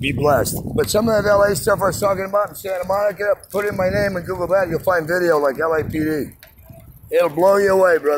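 A man talks at a very fast pace with a high voice and ordinary pitch variation. Noticeable background noise runs under him. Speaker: voice actor. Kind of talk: casual street conversation. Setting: outdoors. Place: street. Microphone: phone near.

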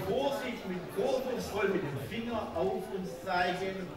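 A man speaks at a very slow pace with a Swabian accent and lively intonation. Noticeable background noise and audible room echo surround him. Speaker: carnival speaker. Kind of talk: rhyming carnival speech. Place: hall. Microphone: podium.

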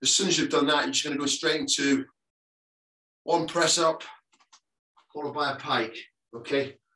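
Audible room echo surrounds a man's bright, sharp voice against a quiet background. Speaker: fitness instructor. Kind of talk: workout instruction. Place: home room. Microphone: video call.

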